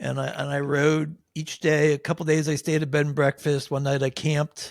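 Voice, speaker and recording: In a Pennsylvania accent, a man with a fairly high pitch speaks at a moderate pace with monotone, flat intonation, captured as a dry, close sound with no echo in a very clean recording with a silent background. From Pennsylvania, Nazareth area (Poconos). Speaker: cycling advisor, amateur endurance cyclist. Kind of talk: interview, casual chat.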